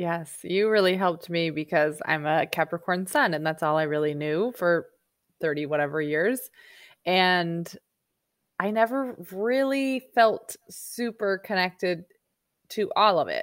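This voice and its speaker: A woman uses an ordinary speaking voice at a medium pitch, with lively intonation. She talks fairly slowly on a very clean recording with a silent background. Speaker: podcast host. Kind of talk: casual interview.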